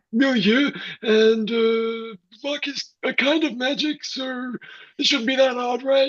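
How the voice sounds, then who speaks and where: In a put-on character voice with fairly high pitch, the speaker goes at a fairly slow pace. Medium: stage play. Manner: hesitant, filler-heavy.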